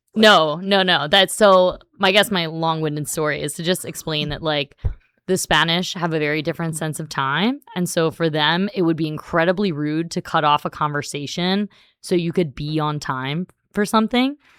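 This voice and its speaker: At a moderate pace, a woman with a fairly low voice talks in a plain, everyday voice with ordinary pitch variation. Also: very clean recording, silent background. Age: 40s. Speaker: high school Spanish teacher. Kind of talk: casual chat. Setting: school podcast studio. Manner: many fillers like 'like' and 'um'.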